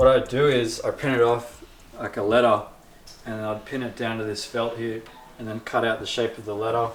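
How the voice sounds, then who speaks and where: Someone with an Australian accent speaks at a fairly quick pace in a relaxed tone, with monotone, flat intonation, big swings in loudness and noticeable background noise. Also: man, medium pitch for a man. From South-West Sydney, Australia. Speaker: skateboarding vlogger and tattoo artist. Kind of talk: interview answer. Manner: casual, relaxed.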